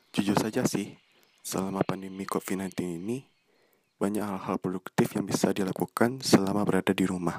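Dry and close with no echo, a man's fairly low voice moves at a fairly quick pace with fairly even intonation. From Indonesia, West Sumatra (Bukittinggi). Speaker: student podcaster. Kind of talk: casual monologue introduction. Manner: a bit stiff.

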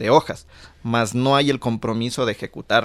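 This is a normal speaking voice. The recording is very clean, with a silent background. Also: man. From Ecuador, Conocoto (near Quito). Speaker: graduate student. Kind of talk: radio talk show discussion.

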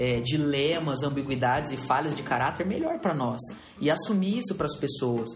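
Noticeable background noise and audible room echo surround a man's voice. He talks at a moderate pace, fairly high in pitch with ordinary pitch variation. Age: 20s. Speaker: pastor and podcast host. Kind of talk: casual chat.

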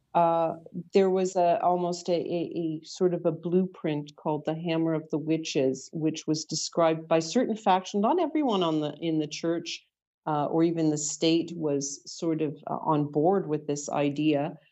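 At a moderate pace and fairly low pitch, a woman with a Canadian accent speaks in an unremarkable speaking voice with fairly even intonation. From Canada, Toronto area. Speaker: author and paranormal researcher. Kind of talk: interview.

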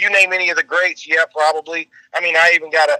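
With a high pitch and a bright, sharp tone, a man speaks at a moderate pace in a monotone, flat intonation, the sound dry and close with no echo. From Memphis, Tennessee. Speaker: country rock singer. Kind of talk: interview.

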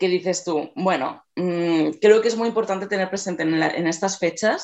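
A woman's plain, everyday voice, at a medium pitch and moderate pace with ordinary pitch variation, over a quiet background. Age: 20s. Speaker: body-positive activist and artist. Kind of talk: radio interview.

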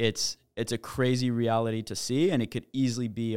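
Over a very clean recording with a silent background, a man with a Canadian accent speaks in an unremarkable speaking voice with fairly even intonation, the sound dry and close with no echo. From Quebec, Montreal. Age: 20s. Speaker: startup founder. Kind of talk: casual chat.

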